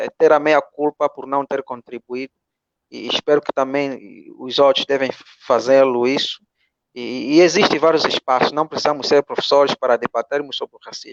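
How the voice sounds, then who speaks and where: In an Angolan accent, a man talks at a moderate pace with a fairly high pitch and monotone, flat intonation. The sound is dry and close, with no echo. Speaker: philosophy teacher. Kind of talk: online panel closing remarks. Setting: video call. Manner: mumbled. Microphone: poor internet connection.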